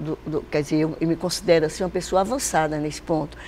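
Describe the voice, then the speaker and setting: A woman at a fairly quick pace. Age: 70s. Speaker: company president. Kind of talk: interview.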